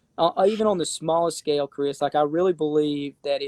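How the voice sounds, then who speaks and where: Dry and close with no echo, a man with an Appalachian accent speaks at a fairly quick pace in a fairly high pitch, his tone dark and mellow and his intonation fairly even. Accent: Appalachian Southern US. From Appalachia, eastern Kentucky / east Tennessee. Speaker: real estate investor and fund founder. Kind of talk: casual interview chat. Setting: live stream. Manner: halting, many repetitions and fillers.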